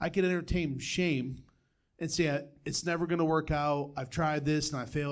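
Fairly high in pitch, a man talks at a fairly quick pace in a normal speaking voice. The recording is very clean, with a silent background. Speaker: church member. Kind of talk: reading aloud.

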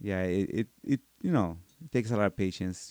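A man's very deep, low voice with a dark, mellow tone and a Mexican accent. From Mexico, Michoacan. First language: Spanish. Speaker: martial arts instructor. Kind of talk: interview. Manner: halting.

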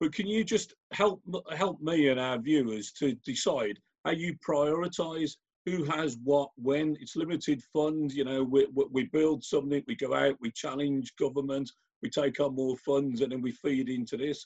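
A man talks at a moderate pace in a plain, everyday voice. His pitch sits fairly high with ordinary variation. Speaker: event host and business chairman. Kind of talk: live interview.

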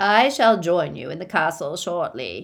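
A put-on character voice at a middle pitch, moving at a moderate pace. The recording is very clean, with a silent background. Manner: cold, commanding.

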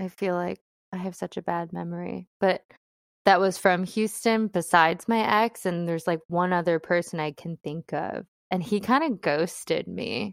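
A woman speaks in a normal speaking voice, fairly low-pitched, at a moderate pace with fairly even intonation. The recording is very clean with a silent background and a dry, close sound with no echo. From US Midwest, Cleveland, Ohio. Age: 30s. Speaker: podcast guest. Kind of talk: casual chat.

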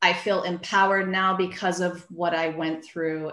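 An unremarkable speaking voice, a woman's, pitched fairly low. She talks at a fairly slow pace with fairly even intonation. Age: 50s. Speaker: physical therapist turned book publisher. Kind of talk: casual interview chat.

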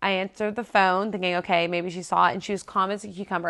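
Over a quiet background, a woman with an American accent speaks at a medium pitch with fairly even intonation in a plain, everyday voice. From South Florida. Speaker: ministry worker. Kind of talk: testimony.

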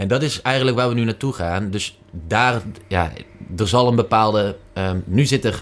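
A man speaks in a normal speaking voice at a moderate pace. His pitch is fairly low, with ordinary variation. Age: 20s. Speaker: commercial manager. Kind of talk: casual interview.

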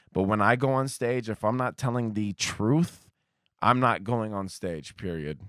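A plain, everyday voice speaks at a fairly slow pace with ordinary pitch variation in a very clean recording with a silent background. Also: man, medium pitch for a man. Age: 30s. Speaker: comedian. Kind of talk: casual chat.

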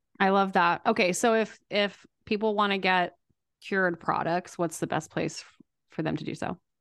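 A normal speaking voice from a woman, medium in pitch, fairly even in intonation and moderate in pace, over a quiet background. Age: 40s. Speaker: podcast host and business coach. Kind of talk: interview conversation.

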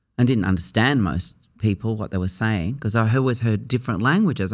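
A man with an Australian accent at medium pitch and a fairly quick pace, in a very clean recording with a silent background. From Sydney, Australia (Surry Hills). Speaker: actor and cabaret performer. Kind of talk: interview. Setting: studio.

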